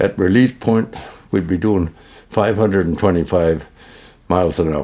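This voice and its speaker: At a moderate pace, a man with a Canadian accent speaks in a very deep, low voice with a dark, mellow tone and ordinary pitch variation. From Manitoba, Canada. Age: 90s. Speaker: war veteran. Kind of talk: testimony. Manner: halting.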